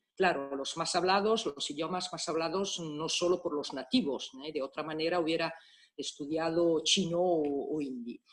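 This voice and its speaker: With music in the background, a woman speaks at a moderate pace in a fairly low pitch with ordinary pitch variation. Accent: Italian. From Italy, Milan. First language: Italian (speaking Spanish). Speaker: private detective. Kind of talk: conference talk. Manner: halting.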